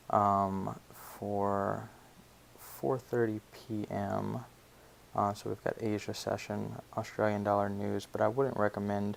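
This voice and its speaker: A man with an American accent speaks quietly at a very slow pace. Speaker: forex trading educator. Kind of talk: market analysis tutorial. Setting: family home, pre-recorded. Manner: quiet, subdued; many filler words.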